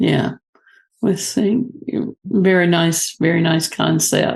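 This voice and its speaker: A woman with a Southern US accent, her pitch fairly low, at a very slow pace. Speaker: interviewer. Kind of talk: interview.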